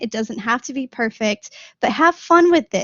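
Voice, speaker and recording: With an enthusiastic tone, a woman talks at a high pitch with ordinary pitch variation. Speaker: college instructor. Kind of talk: online office hour lecture. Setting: video call. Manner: fast.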